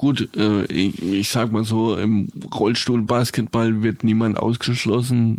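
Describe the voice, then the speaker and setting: Medium-pitched male voice, monotone and flat, at a very slow pace with hardly any pauses and very even loudness. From rural area near Karlsruhe, Baden. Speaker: wheelchair powerlifter. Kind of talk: casual chat.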